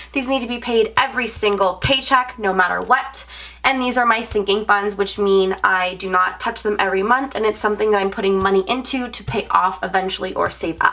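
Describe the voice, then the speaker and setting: A woman talks at a fairly quick pace with hardly any pauses, her fairly high pitch held to fairly even intonation over noticeable background noise. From Canada. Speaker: budgeting vlogger. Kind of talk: casual vlog tutorial.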